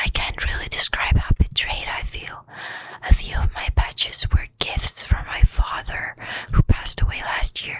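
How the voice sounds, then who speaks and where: Someone whispers in a calm, gentle tone at a fairly slow pace. Noticeable background noise is present. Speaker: ASMR storytime narrator reading Reddit stories over gameplay. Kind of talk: soft-spoken ASMR storytime reading. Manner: soft-spoken, calm, gentle.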